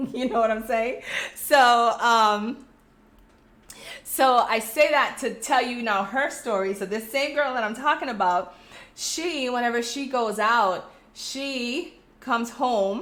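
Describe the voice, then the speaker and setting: In an American accent, a woman with a high voice talks at a fairly slow pace in an animated tone, her pitch varying in an ordinary way, with audible room echo around her. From US Virgin Islands, St. Croix. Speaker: DIY channel host, educator. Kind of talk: casual live-stream chat. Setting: live stream. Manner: slower than her natural pace; animated, storytelling.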